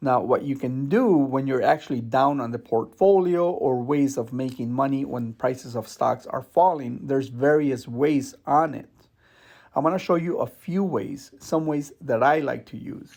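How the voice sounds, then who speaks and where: In a very clean recording with a silent background, a man with an ordinary speaking voice talks at a moderate pace in a fairly high pitch. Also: ordinary pitch variation. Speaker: investing youtuber. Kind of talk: tutorial.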